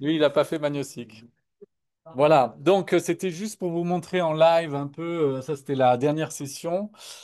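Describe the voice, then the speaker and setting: Speaking at a fairly slow pace, a man uses a fairly high pitch with fairly even intonation. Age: 60s. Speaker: product presenter. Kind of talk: live product webinar. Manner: hesitant, many fillers.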